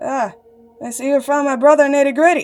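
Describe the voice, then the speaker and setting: A woman performs a put-on character voice at a fairly quick pace. Faint music plays in the background. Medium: read story.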